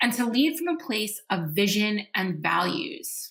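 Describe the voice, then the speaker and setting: Energetic in tone, a woman talks at a medium pitch. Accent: New York. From New York. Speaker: podcast host and leadership coach. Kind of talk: podcast monologue.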